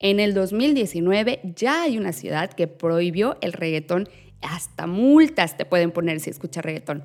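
A woman with a normal speaking voice, medium pitch, lively intonation and a fairly slow pace. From Mexico. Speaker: podcast host. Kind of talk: scripted news segment; casual interview chat.

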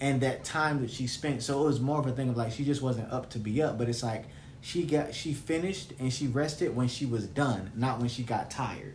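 A fairly quick American accent with ordinary pitch variation and audible room echo. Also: man. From US South. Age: 20s. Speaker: podcast host. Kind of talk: casual chat.

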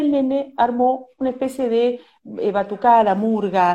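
Speaking at a fairly slow pace, a woman with a Rioplatense accent has a high pitch and a dark, mellow tone. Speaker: journalist host. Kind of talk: interview. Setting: video call.

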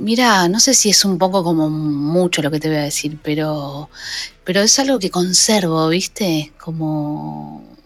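The intonation here is lively. Noticeable background noise runs underneath. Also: woman, very deep, low pitch for a woman, fairly slow pace. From Buenos Aires suburbs, Argentina (La Matanza). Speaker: guitarist and songwriter. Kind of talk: casual interview.

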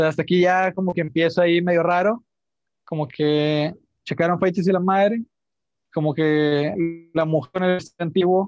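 Over music in the background, a man with a Mexican accent speaks at a fairly slow pace in a high pitch with fairly even intonation. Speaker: podcast host. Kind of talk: storytelling; casual chat.

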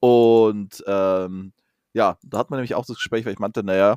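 The recording is very clean, with a silent background and a dry, close sound with no echo. A man talks in a normal speaking voice with fairly even intonation. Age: 30s. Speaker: podcast co-host. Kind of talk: casual chat.

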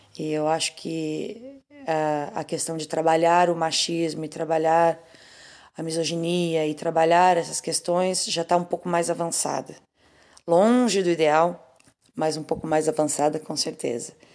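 A woman with an ordinary speaking voice talks at a fairly low pitch with fairly even intonation in a very clean recording with a silent background. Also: fairly slow pace. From southern Brazil, Pelotas, Rio Grande do Sul. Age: 40s. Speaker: singer. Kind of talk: interview.

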